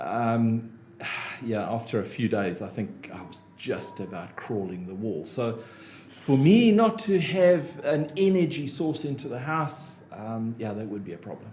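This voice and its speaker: In a South African accent, a man speaks at a fairly slow pace and medium pitch, with very wide pitch swings, big swings in loudness and audible room echo. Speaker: business consultant and motivational speaker. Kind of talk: podcast interview. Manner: hesitant, many fillers.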